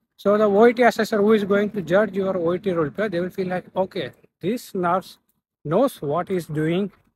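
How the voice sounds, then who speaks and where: A man talks at a moderate pace with high pitch and ordinary pitch variation. The sound is dry with no echo, and there is noticeable background noise. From India. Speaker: nurse and YouTuber giving exam tips; YouTuber giving exam tips. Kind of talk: tutorial; casual vlog tutorial. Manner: halting. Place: street. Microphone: phone near.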